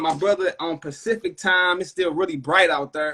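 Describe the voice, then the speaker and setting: A man with a St. Louis accent and a bright, sharp tone, at a moderate pace with ordinary pitch variation. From US Midwest, St. Louis. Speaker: podcast host. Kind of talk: casual interview on Instagram live. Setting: video livestream. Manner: animated.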